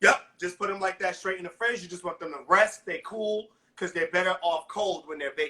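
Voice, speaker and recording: In a raised, projected voice, a man speaks at a high pitch with an American accent. His pace is fairly quick and his intonation fairly even. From New York City. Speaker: celebrity chef. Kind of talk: live baking tutorial. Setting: home kitchen, live video stream.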